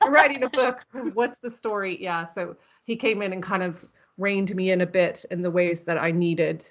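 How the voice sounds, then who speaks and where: Here is a woman with an ordinary speaking voice and an American accent, pitched at a medium level. Her pace is moderate and her pitch variation is ordinary. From United States. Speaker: horror author. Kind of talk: interview.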